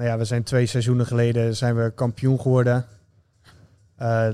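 Keeping a moderate pace, a man with a medium pitch and a dark, mellow tone speaks in a flat monotone. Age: 20s. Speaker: online fitness coach and amateur footballer. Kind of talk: casual interview. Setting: gym.

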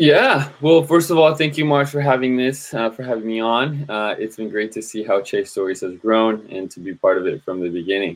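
A man with a Spanish accent talks at a fairly quick pace with hardly any pauses, big swings in loudness and lively intonation. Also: medium pitch for a man. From Colombia, moved to San Jose, California at eight. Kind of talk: casual chat. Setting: video call.

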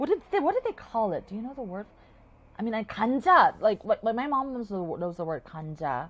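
A woman talks at a fairly quick pace in a fairly high, somewhat breathy voice. Her pitch swings very widely and her loudness swings a lot. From South Korea. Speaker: filmmaker and actor. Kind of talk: casual chat.

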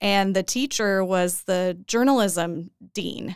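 A woman with an American accent talks at a medium pitch and a fairly slow pace, in an ordinary speaking voice. The recording is very clean, with a silent background. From Oklahoma, Edmond. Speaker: journalist. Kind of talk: casual interview.

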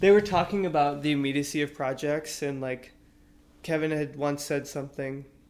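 A man with a plain, everyday voice speaks at a moderate pace. His pitch is fairly high, and his intonation is fairly even. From Austin, Texas. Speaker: artist and musician. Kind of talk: casual chat.

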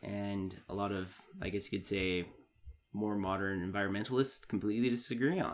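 This man has an ordinary speaking voice, fairly low in pitch, with fairly even intonation. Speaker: podcast host. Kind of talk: casual chat. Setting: in a basement.

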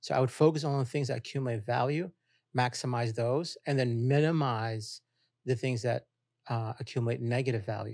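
A man speaks with an unremarkable speaking voice at medium pitch and a fairly quick pace. His intonation is fairly even, on a very clean recording with a silent background. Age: 50s. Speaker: blockchain entrepreneur and business professor. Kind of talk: interview.

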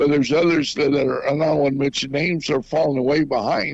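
In an American accent, a man with a fairly high pitch talks at a fairly quick pace with ordinary pitch variation, an ordinary speaking voice. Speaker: former radio morning show host. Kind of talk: radio interview.

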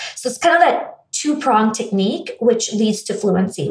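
A woman with an American accent, fairly high pitch and lively intonation, against noticeable background noise. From US, raised in India from age eight. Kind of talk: casual interview conversation.

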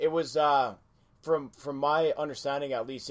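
With a Canadian accent, a man speaks at a moderate pace in an unremarkable speaking voice that sits fairly high in pitch. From Western Canada. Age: 30s. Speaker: podcast host. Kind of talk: casual interview chat.

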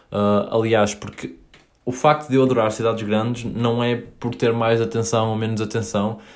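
A man speaks at a moderate pace and medium pitch with fairly even intonation. Room echo is audible. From northern Portugal, Paços de Ferreira. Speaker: podcaster. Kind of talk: solo podcast monologue. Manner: hesitant, many fillers.

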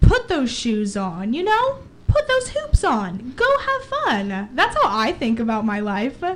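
Noticeable background noise surrounds a woman's voice. She speaks at a fairly slow pace. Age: young. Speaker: student radio co-host. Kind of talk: casual chat.

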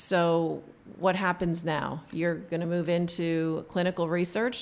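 A woman with an unremarkable speaking voice talks at a fairly slow pace in a fairly low pitch. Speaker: podcast host and optometrist. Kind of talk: casual interview. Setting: on location at a conference.

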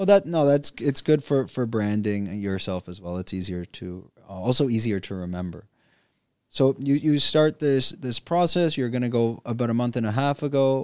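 A man speaks at a medium pitch with a Canadian accent, in an ordinary speaking voice. His intonation is lively and his pace moderate, on a very clean recording with a silent background. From Canada. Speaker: podcast host. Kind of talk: casual interview. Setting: studio.

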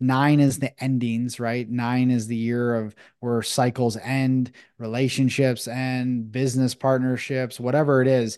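With an American accent, a man of medium pitch talks at a fairly slow pace in a monotone, flat intonation. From Buffalo, New York, US. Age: 30s. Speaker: breathwork facilitator and men's coach. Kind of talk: casual interview. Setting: video call.

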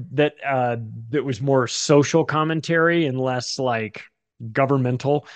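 A man speaks in a plain, everyday voice. His pitch is fairly high and his intonation fairly even. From Southern California, Palm Springs. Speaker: author and podcaster. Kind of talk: casual interview conversation.

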